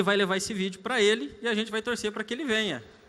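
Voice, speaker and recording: A man speaks at a very fast pace. His tone is bright and sharp. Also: very clean recording, silent background. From Brazilian Northeast. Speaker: event organizer. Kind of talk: event hosting. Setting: stage with audience. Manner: animated.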